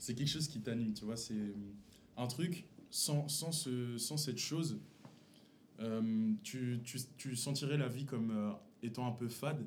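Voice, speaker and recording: Pausing long and often, a man speaks very slowly at a medium pitch with ordinary variation, somewhat breathy, with audible room echo. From Paris region, Montfermeil (Seine-Saint-Denis). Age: 20s. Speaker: friend, small clothing brand founder. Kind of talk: casual chat.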